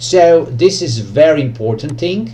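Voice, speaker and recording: Pitch varies in an ordinary way, with audible room echo and noticeable background noise. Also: man. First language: Serbian. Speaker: trading educator YouTuber. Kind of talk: tutorial. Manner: halting, many fillers.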